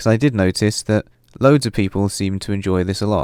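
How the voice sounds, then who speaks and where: A man with a British accent, on a very clean recording with a silent background and a dry, close sound free of echo. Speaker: video game tutorial maker. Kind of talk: casual intro talk to camera.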